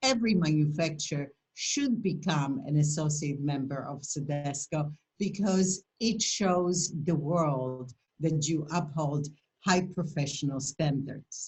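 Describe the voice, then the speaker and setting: A woman speaks in a very deep, low pitch, somewhat breathy, with ordinary pitch variation. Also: fairly slow pace. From Poland. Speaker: esthetician and skincare company founder. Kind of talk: educational presentation. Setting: video call webinar.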